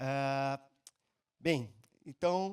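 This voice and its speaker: With fairly even intonation, a man talks in a fairly high register. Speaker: preacher. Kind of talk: sermon.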